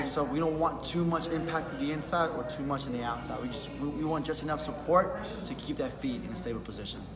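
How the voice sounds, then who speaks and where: With clear music in the background, a man speaks at a very fast pace with hardly any pauses. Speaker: shoe salesman. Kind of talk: in-store sales explanation. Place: shop. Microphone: phone near.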